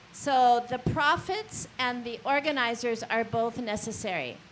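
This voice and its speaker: A normal speaking voice moves along at a fairly slow pace. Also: woman. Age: 60s. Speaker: community organizer. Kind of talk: panel discussion.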